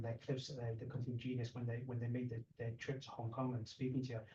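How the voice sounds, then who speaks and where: A man's somewhat breathy, dark, mellow voice with a British accent, at a medium pitch and a fairly quick pace. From UK. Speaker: martial arts channel host, interviewer. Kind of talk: casual interview. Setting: in guest's place. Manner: halting, many repetitions.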